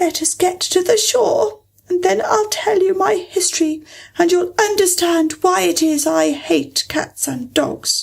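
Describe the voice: A woman's put-on character voice, shaky and extremely high in pitch, at a fairly slow pace.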